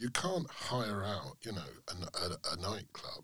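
A man's bright, sharp voice with vocal fry, at a fairly slow pace. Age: 60s. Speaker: author and music writer. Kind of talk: interview.

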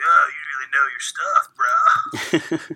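A put-on character voice pitched extremely high. It moves at a very slow pace. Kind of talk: 80s surfer dude. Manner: laid-back, casual, bad-dub quality.

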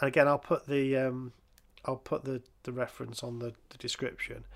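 On a very clean recording with a silent background, a man with an English accent speaks at a medium pitch. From England. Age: 50s. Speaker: podcast host. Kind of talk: casual chat.

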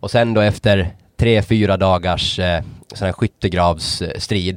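A man speaks at a very deep, low pitch with fairly even intonation. The recording is dry and close, with no echo. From Åland, Finland. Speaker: podcast co-host. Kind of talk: casual chat.

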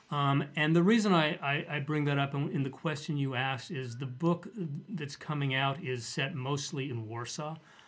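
A man speaks with an American accent at a moderate pace. His voice is fairly high and somewhat breathy, with ordinary pitch variation. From US, Denver, Colorado. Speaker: author. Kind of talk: casual chat.

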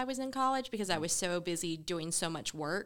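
In a very clean recording with a silent background, a woman speaks at a moderate pace with a fairly low pitch, ordinary pitch variation and a bright, sharp tone. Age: 20s. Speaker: podcast producer. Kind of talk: casual chat.

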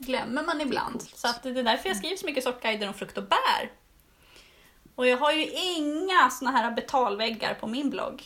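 A woman with a high voice projects loudly, her intonation lively at a moderate pace. Background noise is noticeable. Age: 40s. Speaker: gardening blogger and seed-saving course teacher. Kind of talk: casual chat.

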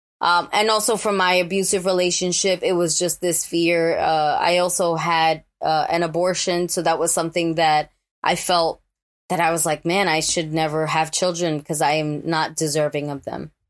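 In a New York accent, the speaker talks at a moderate pace with monotone, flat intonation, on a very clean recording with a silent background. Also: woman, fairly low pitch for a woman. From New York, the Bronx. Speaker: actor and author. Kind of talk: interview.

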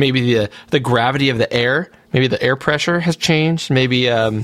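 A man's plain, everyday voice at medium pitch, moderate in pace, with ordinary pitch variation. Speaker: podcast host. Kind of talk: casual chat.

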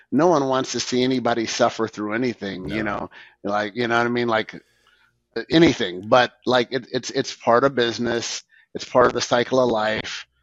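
A man with an unremarkable speaking voice, medium in pitch and fairly quick in pace, in a dry, close sound with no echo. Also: quiet background. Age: 50s. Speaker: moving company owner. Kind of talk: casual chat. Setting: video podcast.

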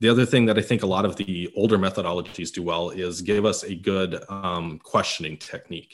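Against a quiet background, a man speaks in a very deep, low pitch. His pace is fairly quick and his intonation fairly even. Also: hardly any pauses. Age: 30s. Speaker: sales podcast host. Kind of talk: casual business discussion.

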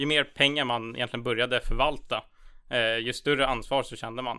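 A man's bright, sharp voice at a medium pitch, monotone and flat in intonation. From Sweden, Stockholm (Tyresö). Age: 20s. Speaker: student investment club chair. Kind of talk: casual interview about finance.

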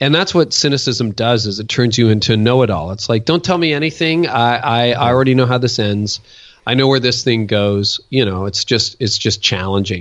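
With a Canadian accent, a man uses a plain, everyday voice at a medium pitch, ordinary pitch variation and a fairly quick pace. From Ontario, Canada. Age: 50s. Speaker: pastor and author. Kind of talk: interview.

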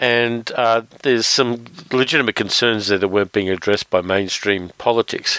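Moderate pace and medium pitch from a man with an Australian accent, fairly even intonation and very even loudness, dry, close sound with no echo, noticeable background noise. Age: 50s. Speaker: podcast host, film reviewer. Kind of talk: casual chat.

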